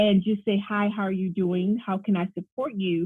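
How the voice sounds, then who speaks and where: A woman talks at a medium pitch that varies in an ordinary way. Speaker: relationship coach. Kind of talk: casual interview chat. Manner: fast.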